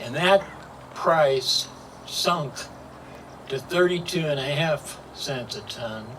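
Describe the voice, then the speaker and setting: A man speaks at a very slow pace in a Midwestern US accent. Noticeable background noise is present. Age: 80s+. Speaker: local historian. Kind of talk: public talk.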